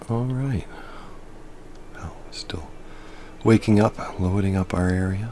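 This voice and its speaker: A man's very deep, low voice, soft-spoken and soothing in tone, over noticeable background noise. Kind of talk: relaxing gameplay commentary. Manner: soothing, soft-spoken.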